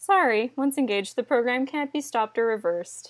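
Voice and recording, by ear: Putting on a robotic character voice, a woman speaks at a high pitch and a fairly quick pace.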